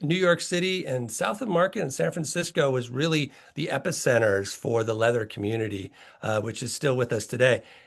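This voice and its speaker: Here a man talks at a fairly quick pace with lively intonation. His pitch sits in the medium range. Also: quiet background. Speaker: heritage organization president. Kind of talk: online presentation. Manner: fast; conversational.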